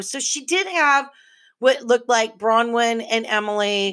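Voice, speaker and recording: The voice is bright and sharp with an animated tone and ordinary pitch variation, delivered at a fairly slow pace. The recording is very clean, with a silent background. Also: woman. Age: 50s. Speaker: podcast host. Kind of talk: casual monologue.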